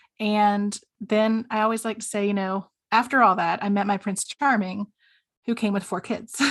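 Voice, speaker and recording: A woman with an American accent, medium in pitch, monotone and flat in intonation, over a quiet background. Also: moderate pace. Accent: slight Southern, comes out occasionally. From US South. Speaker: stepparent coach. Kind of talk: interview.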